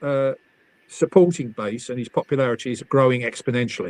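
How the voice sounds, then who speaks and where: The speaker talks at a fairly quick pace with an English accent and ordinary pitch variation. The sound is dry and close, with no echo. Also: man. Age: 70s. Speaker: motoring campaigner and party spokesman. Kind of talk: casual chat. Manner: halting.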